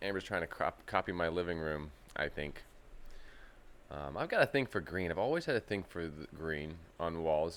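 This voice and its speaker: A man talks at a moderate pace, the recording very clean and the background silent. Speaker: aquarium youtuber. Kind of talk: live stream chat. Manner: casual, rambling.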